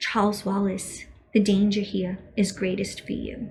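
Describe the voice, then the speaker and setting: A woman puts on a character voice, soft-spoken and creaky, at a medium pitch. She keeps a moderate pace with monotone, flat intonation. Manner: gentle, warning.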